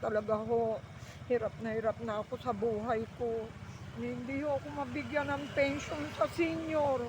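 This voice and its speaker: Over noticeable background noise, a woman speaks at a fairly slow pace. Her fairly high voice swings very widely in pitch. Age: 70s. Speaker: elderly scrap collector. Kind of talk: interview.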